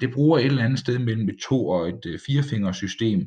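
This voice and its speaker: At a fairly slow pace, the speaker sounds somewhat breathy. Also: man. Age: 20s. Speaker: village pastor and podcaster. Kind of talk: casual solo monologue. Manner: hesitant, with filler sounds.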